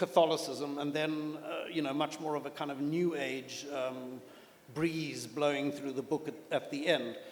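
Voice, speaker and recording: A man with a fairly high pitch speaks at a fairly slow pace. His intonation is monotone and flat, and background noise is noticeable. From South Africa. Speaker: novelist. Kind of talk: panel interview at literature festival. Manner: hesitant, with fillers and repeats.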